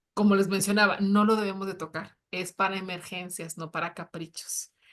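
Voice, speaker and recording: A woman speaks at a medium pitch. Her loudness swings widely. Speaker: personal finance show co-host. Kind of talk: live panel discussion. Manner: fast; animated.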